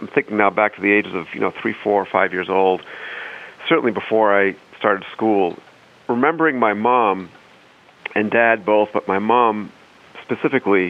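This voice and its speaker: This man keeps a moderate pace while noticeable noise runs in the background. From northern Maine, Saint John Valley. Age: 50s. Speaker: civil servant. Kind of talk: testimony. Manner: halting.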